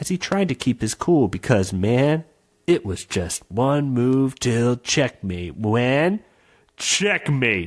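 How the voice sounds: Simply a natural reading voice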